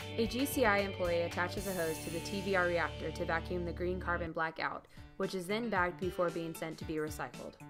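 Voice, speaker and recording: Over music in the background, a woman talks at a very fast pace with hardly any pauses. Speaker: voice-over talent. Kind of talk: corporate narration.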